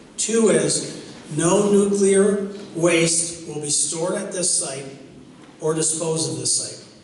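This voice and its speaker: A man speaks in a high voice with ordinary pitch variation. Audible room echo and noticeable background noise surround him. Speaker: meeting moderator. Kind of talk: public meeting moderation. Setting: public meeting with audience. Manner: loud.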